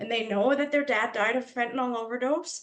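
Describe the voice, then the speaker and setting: Speaking at a fairly quick pace, a woman talks in a Canadian accent. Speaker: lived-experience advocate. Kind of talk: panel testimony. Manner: loud.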